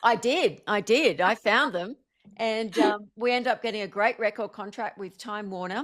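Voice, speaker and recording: The speaker is a woman with an Australian accent. Her pitch is fairly high and her pace is moderate. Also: ordinary pitch variation, very clean recording, silent background. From Australia, Blue Mountains and Sydney. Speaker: singer-songwriter and motivational speaker. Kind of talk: interview.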